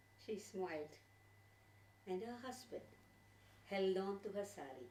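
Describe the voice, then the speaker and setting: With a Tamil accent, a woman speaks at medium pitch in a dark, mellow tone with vocal fry. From India, Tamil Nadu (Chennai). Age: 60s. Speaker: storyteller. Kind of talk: personal reminiscence to audience; storytelling performance.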